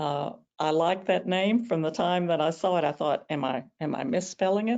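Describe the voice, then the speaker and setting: A woman with a Southern US accent speaks with ordinary pitch variation. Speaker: rose expert presenter. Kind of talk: webinar presentation. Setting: online webinar. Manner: hesitant with many fillers.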